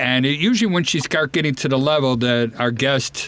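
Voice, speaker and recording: A man speaks in an ordinary speaking voice at a moderate pace. His pitch is medium, with ordinary variation. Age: 30s. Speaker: radio host and home inspector. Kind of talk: radio talk show. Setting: studio.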